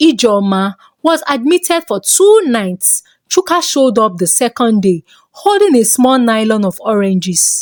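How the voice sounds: A woman with a fairly high pitch and a slightly mellow tone talks at a fairly slow pace with few pauses and big pitch swings, in a dry, close sound with no echo.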